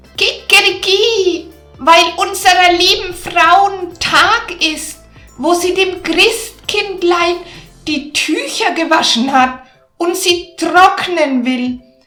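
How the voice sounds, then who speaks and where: Using a put-on character voice, a woman speaks at a very slow pace with faint music in the background. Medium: read story. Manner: loud, crowing "kikeriki".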